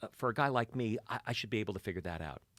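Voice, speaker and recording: A man with a medium pitch talks at a very fast pace. The sound is dry and close with no echo, on a very clean recording with a silent background. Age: 60s. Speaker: financial advisor educator. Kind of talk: interview conversation.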